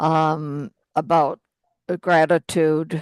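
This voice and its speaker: The woman's pitch is very deep and low, and the sound is dry and close with no echo against a quiet background. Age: 80s+. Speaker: audience participant. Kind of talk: Zoom Q&A discussion. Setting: video call. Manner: halting, many fillers.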